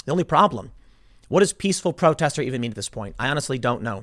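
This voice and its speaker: On a very clean recording with a silent background, a man with an American accent swings very widely in pitch. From Chicago South Side. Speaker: political commentator. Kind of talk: political commentary monologue.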